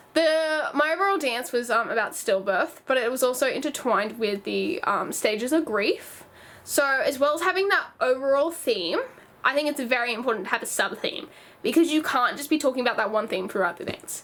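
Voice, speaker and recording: A woman with an Australian accent talks at a fairly quick pace. Her high voice has very wide pitch swings. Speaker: youtuber, former dance student. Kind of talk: casual vlog talk. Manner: halting, self-correcting.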